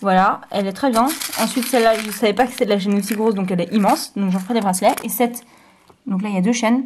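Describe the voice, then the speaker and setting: The speaker goes at a very fast pace and sounds somewhat breathy. Pitch variation is ordinary. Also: woman. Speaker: craft YouTuber. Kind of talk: show-and-tell tutorial. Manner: hesitant, many fillers.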